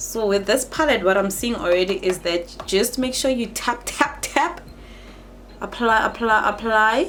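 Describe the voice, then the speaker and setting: Speaking at a fairly slow pace with a non-native accent, the voice shows ordinary pitch variation over noticeable background noise. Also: woman. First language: not English. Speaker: beauty vlogger. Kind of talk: makeup tutorial and review. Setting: home studio. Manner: animated.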